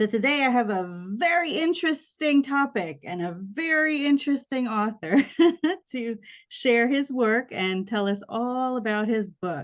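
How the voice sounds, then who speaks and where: A woman speaks at a high pitch with lively intonation and a fairly slow pace. The background is quiet. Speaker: podcast host, interviewer. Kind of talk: interview questions, casual conversation.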